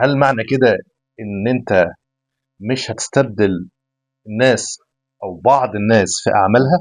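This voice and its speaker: Music plays in the background as a man talks at a moderate pace. His medium pitch has ordinary variation, broken by long, frequent pauses. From Egypt. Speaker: podcast host. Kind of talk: casual interview.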